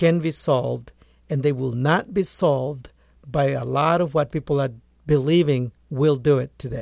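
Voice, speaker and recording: Moderate pace and ordinary pitch variation in a Spanish accent, on a very clean recording with a silent background. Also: man. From rural Guatemala. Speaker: agronomist and author. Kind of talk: interview.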